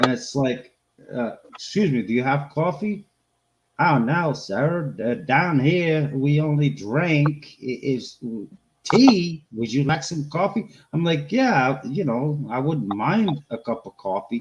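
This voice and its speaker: A man with a Boston accent, fairly high pitch, lively intonation, a somewhat breathy sound and a fairly slow pace. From Boston area, US. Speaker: homesteading channel co-host. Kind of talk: casual chat. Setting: live stream.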